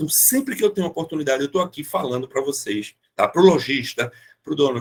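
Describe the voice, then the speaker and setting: A man's voice with very wide pitch swings. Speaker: automotive market consultant. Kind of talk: online meeting talk. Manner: animated.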